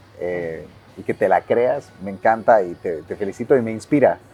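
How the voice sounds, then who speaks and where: With music in the background, a man of medium pitch speaks at a fairly slow pace. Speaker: marketing director. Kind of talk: casual interview.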